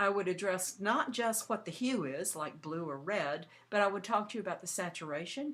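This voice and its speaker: A woman with a plain, everyday voice at medium pitch speaks with lively intonation. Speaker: art teacher. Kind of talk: tutorial.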